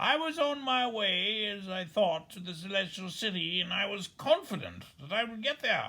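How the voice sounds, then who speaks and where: A put-on character voice, fairly high-pitched, with hardly any pauses. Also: moderate pace. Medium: read story. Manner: sad, hopeless.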